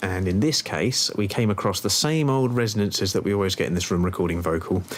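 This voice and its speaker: A man talks very fast in a fairly low voice, with ordinary pitch variation and very even loudness. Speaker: music producer. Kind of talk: tutorial. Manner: casual, hesitant with fillers.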